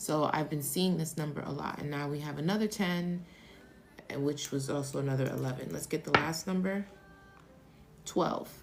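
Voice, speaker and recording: Soft-spoken and very deep for a woman, she speaks at a moderate pace with ordinary pitch variation and long, frequent pauses as music plays in the background. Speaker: tarot reader. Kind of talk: live stream tarot reading. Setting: live stream. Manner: casual.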